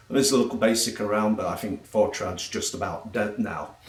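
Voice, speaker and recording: A man with an English accent speaks over noticeable background noise. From England. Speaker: travel blogger and technical sales trainer. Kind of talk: casual self-introduction monologue. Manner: hesitant with frequent fillers.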